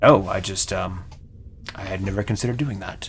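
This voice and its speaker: A raspy, put-on character voice from a man, fairly low in pitch with ordinary variation, fairly quick, over clear background noise. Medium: actual play. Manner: earnest.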